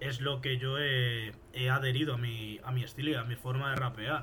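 A man in a Madrid accent, medium-pitched and monotone with flat intonation, at a fairly slow pace, with noticeable background noise and audible room echo. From Spain, Fuenlabrada near Madrid. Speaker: rapper. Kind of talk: casual interview.

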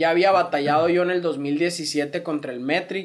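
A man speaks at a fairly slow pace in a high pitch, his intonation fairly even. The recording is very clean, with a silent background. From Mexico, Sonora (Hermosillo). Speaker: rapper. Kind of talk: casual chat.

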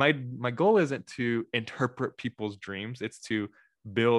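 Against a quiet background, a man speaks at medium pitch in a dry, close sound with no echo. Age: 30s. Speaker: podcast host. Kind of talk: casual chat. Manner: animated.

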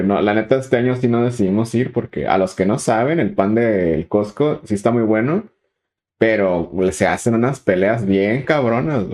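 A man with a Mexican accent speaks at a medium pitch and a moderate pace with lively intonation. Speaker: podcast co-host. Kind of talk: casual chat.

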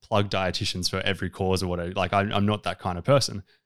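Man with an Australian accent and fairly low pitch at a very fast pace, in a very clean recording with a silent background. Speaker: dietitian. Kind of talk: casual interview.

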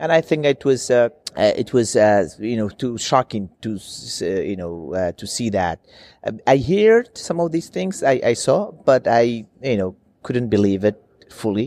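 A man speaks at a fairly slow pace with lively intonation, his medium-pitched voice dark and mellow in a dry, close sound with no echo. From Iraqi Kurdistan (Sulaymaniyah). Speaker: former member of parliament, ex-journalist. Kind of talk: interview. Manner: halting, many fillers.

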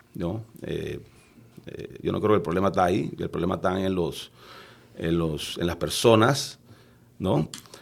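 Long, frequent pauses break up a man's very deep, low voice, which moves at a fairly slow pace with ordinary pitch variation. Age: 50s. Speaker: lawyer and politician. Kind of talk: podcast interview. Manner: halting, many repetitions.

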